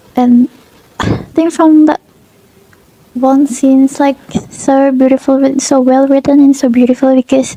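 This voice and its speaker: Over noticeable background noise, a woman with a non-native accent speaks at a high pitch with very even loudness, monotone, flat intonation and long, frequent pauses. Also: fairly slow pace, dry, close sound with no echo. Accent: non-fluent English speaker. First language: Indonesian. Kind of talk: casual book review to camera.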